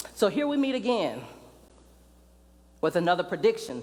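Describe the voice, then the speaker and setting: Very wide pitch swings mark a woman's voice as she talks at a moderate pace. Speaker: preacher. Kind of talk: spoken word sermon.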